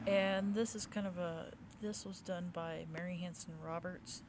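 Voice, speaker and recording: With fairly even intonation, a woman speaks amid audible room echo. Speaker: tarot deck reviewer. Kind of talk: casual product review. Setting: outdoors in a cemetery. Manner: halting, some stuttering.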